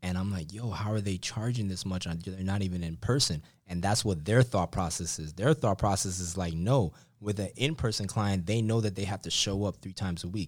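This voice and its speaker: Someone speaks in an ordinary speaking voice with an American accent, at a fairly quick pace. Pitch variation is ordinary, in a very clean recording with a silent background. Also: man, fairly low pitch for a man. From Miami, Florida. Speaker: strength coach. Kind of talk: casual interview.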